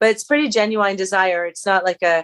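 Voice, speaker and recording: A woman is speaking. The sound is dry and close, with no echo. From New Brunswick, Canada (Acadian region). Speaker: singer-songwriter. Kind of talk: interview. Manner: halting, many fillers.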